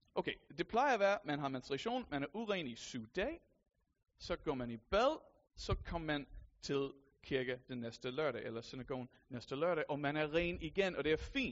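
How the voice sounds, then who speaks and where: With lively intonation, a man speaks at a fairly high pitch. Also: moderate pace. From USA. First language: English (speaking Danish). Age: 30s. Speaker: lay preacher. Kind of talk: sermon.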